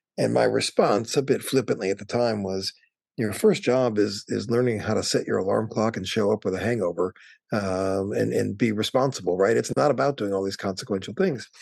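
Talking at a fairly quick pace, a man with an American accent uses a fairly low pitch, ordinary pitch variation and vocal fry. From Wisconsin. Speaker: travel industry association executive. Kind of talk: interview.

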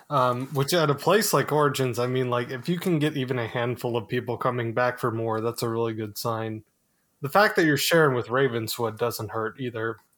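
A man's normal speaking voice at medium pitch and a fairly quick pace, ordinary pitch variation, in a very clean recording with a silent background. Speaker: co-host asking questions. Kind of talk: casual interview-style chat.

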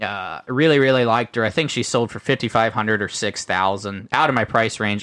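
Speaking at a very fast pace, a man talks with a Midwestern US accent. His pitch varies in an ordinary way. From US Ohio. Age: 20s. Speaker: livestock breeder and show judge. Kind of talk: casual interview chat.

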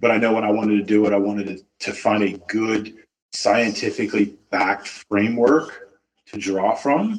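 A man speaks in a plain, everyday voice, fairly low in pitch, at a moderate pace with fairly even intonation. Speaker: dog trainer. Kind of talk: casual interview chat.

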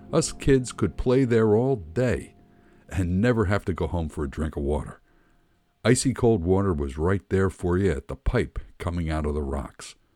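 A man's very deep, low voice with a dark, mellow tone, very wide pitch swings, an American accent and a moderate pace. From Philadelphia. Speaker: podcast host and memoirist. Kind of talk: memoir reading, nostalgic storytelling, read aloud from a written text. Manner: wry and nostalgic, with comic timing and punchy asides.

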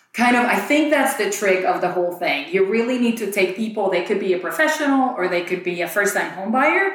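A woman talks at a fairly quick pace with hardly any pauses, her medium-pitched voice full of lively intonation. Noticeable background noise runs beneath her. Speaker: real estate agent and podcast co-host. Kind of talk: podcast discussion, casual conversation. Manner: loud talker.

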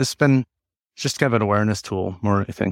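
The sound is dry and close, with no echo. A man talks at a very fast pace. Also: very clean recording, silent background. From South Dakota. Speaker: GIS solutions engineer. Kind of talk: interview.

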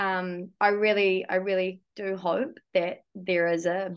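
A woman speaks at a medium pitch. She has a New Zealand accent. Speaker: geologist and climate risk consultant. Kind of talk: interview.

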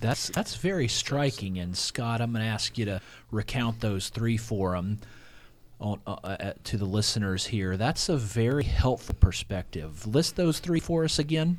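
This is a man with an ordinary speaking voice. His pitch is medium and his pace moderate. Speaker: ministry professor, interviewer. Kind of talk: interview conversation.

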